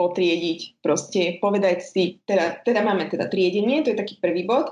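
This is a normal speaking voice, a woman's at a medium pitch. Her pitch varies an ordinary amount. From eastern Slovakia, Spišská Nová Ves. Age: 30s. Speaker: home organizing and upcycling influencer. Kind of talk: casual interview.

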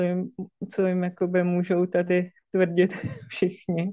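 A woman speaks very slowly, her medium-pitched voice dark, mellow and calm. Her intonation stays monotone and flat over a quiet background. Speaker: therapist. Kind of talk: casual chat. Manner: calm, slow.

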